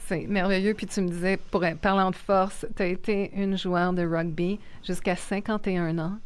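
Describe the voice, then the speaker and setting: A woman with a Quebec accent speaks at a fairly slow pace in a monotone, flat intonation, with audible room echo. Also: medium pitch for a woman. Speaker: podcast host. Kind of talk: interview conversation.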